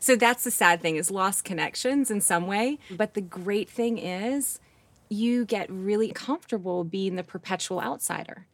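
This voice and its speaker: An ordinary speaking voice from a woman with an American accent, at medium pitch with ordinary pitch variation and a moderate pace. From US Northeast, Rochester, New York. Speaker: business executive. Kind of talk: casual interview chat.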